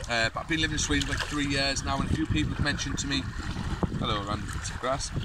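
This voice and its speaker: The speech comes at a very fast pace over loud background noise. The sound is dry, with no echo. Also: man. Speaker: vlogger. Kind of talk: casual vlog. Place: forest.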